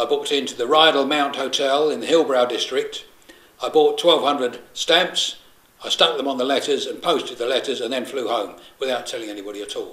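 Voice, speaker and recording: Through noticeable background noise, a man speaks at a fairly high pitch in a London accent. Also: fairly quick pace. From London, England. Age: 60s. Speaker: political activist. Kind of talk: solidarity message. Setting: private flat. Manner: hesitant, frequent fillers.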